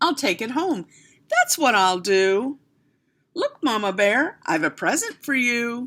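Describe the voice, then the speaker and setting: This female-sounding voice is a put-on character voice at a fairly high pitch. It moves at a fairly slow pace. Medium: read story. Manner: drowsy.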